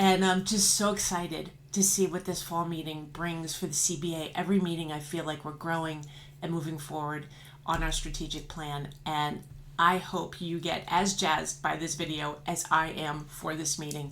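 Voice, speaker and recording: A woman's fairly low pitch with audible room echo. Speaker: trade association leader. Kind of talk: promotional announcement. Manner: fast; animated.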